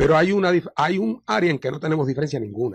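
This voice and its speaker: A man talks at a very fast pace. The sound is dry with no echo, over a quiet background. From Puerto Rico. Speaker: party leader and lawyer; radio interview guest, lawyer. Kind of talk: radio interview. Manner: halting with many fillers. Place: studio.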